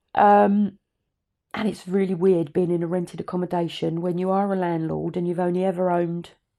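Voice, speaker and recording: In a very clean recording with a silent background, a woman speaks at a medium pitch and a fairly quick pace with a dark, mellow tone. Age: 60s. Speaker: podcast host and business mentor. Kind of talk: casual personal monologue. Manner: conversational, with hesitations.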